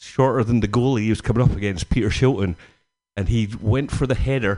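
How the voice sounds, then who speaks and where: A man with a Glaswegian accent speaks at a medium pitch with a dark, mellow tone and ordinary pitch variation. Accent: Glaswegian Scottish. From Scotland, near Glasgow. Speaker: stand-up comedian. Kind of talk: stand-up. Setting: stage with audience. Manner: animated.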